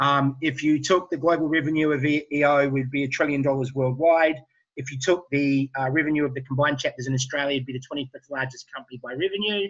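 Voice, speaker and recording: A man's fairly high voice at a very fast pace, with hardly any pauses and fairly even intonation. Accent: New Zealand. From New Zealand. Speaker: entrepreneur. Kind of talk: webinar presentation.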